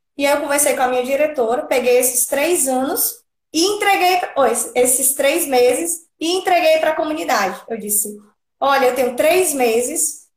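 The speech has lively intonation and a moderate pace. Room echo can be heard. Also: woman. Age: 30s. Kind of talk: testimony.

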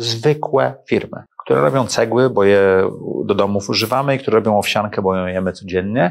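This man has an unremarkable speaking voice, pitched fairly low. He talks at a fairly quick pace with lively intonation. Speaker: entrepreneur and investor. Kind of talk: interview.

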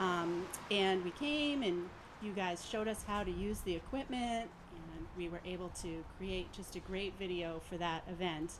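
This woman has an unremarkable speaking voice at medium pitch. She talks at a moderate pace with ordinary pitch variation. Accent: American. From Massachusetts, Andover. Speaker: nonprofit marketing staffer. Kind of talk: casual chat. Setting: outdoors.

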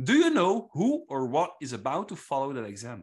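A moderate pace and very wide pitch swings in a Flemish accent, over a quiet background. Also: man. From Flanders, Belgium. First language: Flemish (Dutch). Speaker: quiz master. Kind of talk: quiz hosting.

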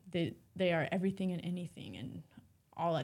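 A woman with a fairly low pitch and vocal fry speaks at a fairly quick pace. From Alaska, interior (Rampart and Fairbanks). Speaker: broadband specialist. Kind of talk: interview conversation.

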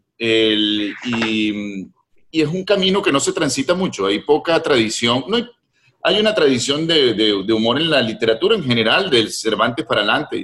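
A man at a medium pitch and a moderate pace, with very wide pitch swings. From Venezuela, Caracas. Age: 50s. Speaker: novelist. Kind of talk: interview conversation.

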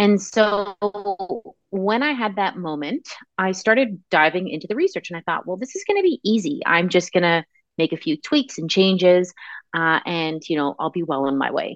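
In an ordinary speaking voice, a woman talks at a moderate pace and medium pitch with lively intonation. The sound is dry and close with no echo, over a quiet background. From Canada. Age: 30s. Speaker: nutrition and fertility wellness practitioner. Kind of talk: interview.

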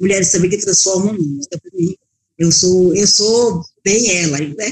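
A woman speaks at a very slow pace, in dry, close sound with no echo. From Bahia, Brazil. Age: 60s. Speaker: restaurant owner and cook. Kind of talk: interview.

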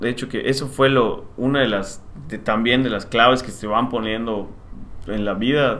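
A man's medium-pitched voice at a fairly slow pace, with fairly even intonation and audible room echo. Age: 30s. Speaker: civil engineer and property developer. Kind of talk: casual interview.

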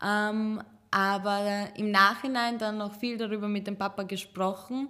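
Speaking at a fairly slow pace, a woman with a medium pitch has an unremarkable speaking voice. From Serbian Roma, raised partly in Chicago and Vienna. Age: 20s. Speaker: teacher and Roma activist. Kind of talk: casual interview conversation. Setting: office studio.

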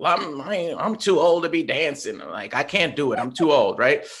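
A man with an American accent talks fairly quickly at a high pitch, his intonation lively. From New York. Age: 40s. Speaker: social media coach and hip-hop producer. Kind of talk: casual interview. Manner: animated.

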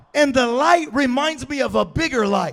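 Speaking in an American accent at a fairly slow pace, a man has an animated tone over music in the background. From US West, California. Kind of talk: sermon, preacher in full flow, rallying call-and-response. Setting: church with live congregation. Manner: animated, rhythmic, repeating phrases with rising intensity; loud, exhorting the crowd, with jokes.

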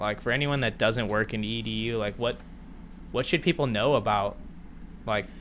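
This man's medium-pitched voice carries vocal fry and ordinary variation in pitch. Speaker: podcast host. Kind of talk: casual interview.

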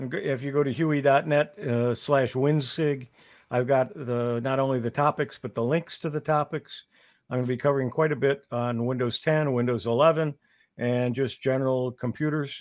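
An ordinary speaking voice moves at a moderate pace, its intonation fairly even throughout. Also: man, medium pitch for a man. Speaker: co-host. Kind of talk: casual chat. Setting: online video broadcast.

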